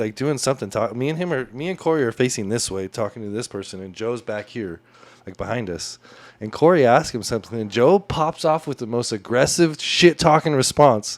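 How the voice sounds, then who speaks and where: A man with an unremarkable speaking voice, medium pitch and a fairly quick pace. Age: 30s. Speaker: podcast host. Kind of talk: casual chat.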